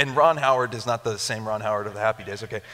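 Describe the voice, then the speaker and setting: A man with an American accent talks at a very fast pace. His tone is animated. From Japan (missionary kid). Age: 30s. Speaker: pastor. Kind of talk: sermon. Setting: church with live audience. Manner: animated, conversational. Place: church. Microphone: headset.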